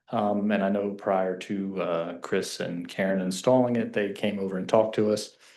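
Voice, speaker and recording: In a Kentucky accent, a man speaks at a moderate pace with a fairly low voice and hardly any pauses. His intonation is monotone and flat against a quiet background. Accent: Southern US (Kentucky). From Kentucky, US South. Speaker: resident speaking at public comment. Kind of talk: public comment at council meeting. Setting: township council meeting.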